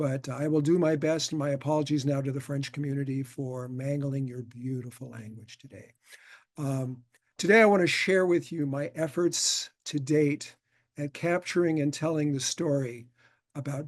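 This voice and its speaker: At a moderate pace, a man with a Californian accent talks at a fairly high pitch, with ordinary pitch variation and big swings in loudness. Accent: Californian American. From California, Hollywood. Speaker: film designer and historian, lecturer. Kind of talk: lecture. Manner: many fillers, halting.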